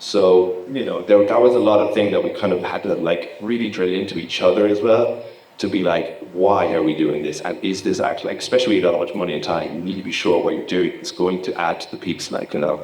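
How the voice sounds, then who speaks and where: A man at a very fast pace with hardly any pauses, amid noticeable background noise and audible room echo. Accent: Irish. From Ireland. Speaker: laser and visuals technician, conference speaker. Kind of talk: conference talk. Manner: casual, animated.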